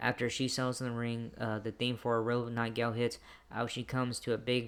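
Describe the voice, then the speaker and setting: The delivery is monotone and flat at a fairly quick pace. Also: man. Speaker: wrestling show reviewer. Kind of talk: show recap review. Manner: halting, many fillers; loud.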